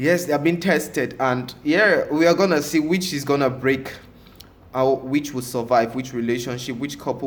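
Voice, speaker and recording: Audible room echo surrounds a man who speaks with ordinary pitch variation. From Africa. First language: French. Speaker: reality TV reviewer. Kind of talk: casual vlog commentary. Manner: halting, many fillers; animated.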